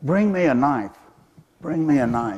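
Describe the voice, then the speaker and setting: In a squeaky put-on character voice, a man speaks at a moderate pace with a fairly high pitch. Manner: demanding, yelling out.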